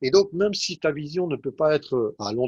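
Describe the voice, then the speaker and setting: A man speaks with lively intonation. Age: 60s. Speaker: IT executive. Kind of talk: interview. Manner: halting, many hesitations.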